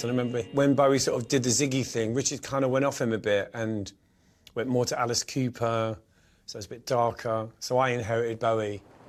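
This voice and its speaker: This man speaks very fast with a South London accent, his medium-pitched voice staying monotone and flat. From South London, England. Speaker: singer and songwriter. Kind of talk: interview answer. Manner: casual, chatty.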